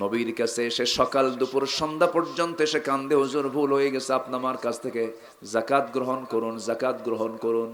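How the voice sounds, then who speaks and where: A man with a medium pitch keeps his intonation fairly even over noticeable background noise. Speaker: Islamic preacher. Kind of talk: religious sermon.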